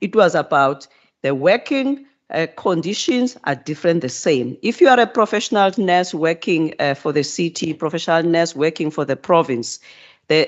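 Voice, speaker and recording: The pace of speech is moderate. The speaker talks with a non-native accent. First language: not English. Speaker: provincial health minister. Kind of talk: committee hearing response. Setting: parliament committee room. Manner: halting, many repetitions and fillers.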